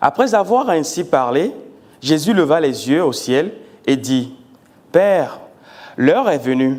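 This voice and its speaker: This man's pitch is fairly high. It leaps up and down over a very wide range. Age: 40s. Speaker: pastor. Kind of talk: sermon. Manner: deliberate, measured pace; halting, repeats words.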